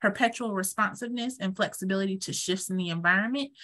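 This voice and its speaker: A woman's bright, sharp, medium-pitched voice with a Georgia accent, at a fairly quick pace over a quiet background. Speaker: sex education trainer. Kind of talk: webinar presentation. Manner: halting, many fillers.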